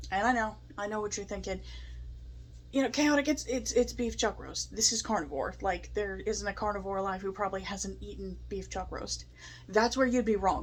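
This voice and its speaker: A woman's shaky voice comes at a moderate pace. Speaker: food review vlogger. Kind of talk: casual vlog review. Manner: animated.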